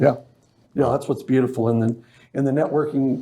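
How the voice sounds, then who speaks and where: With an American accent, a man speaks in a dark, mellow tone at medium pitch. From Las Vegas, US. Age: 60s. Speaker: business networking organizer. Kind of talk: interview. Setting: studio.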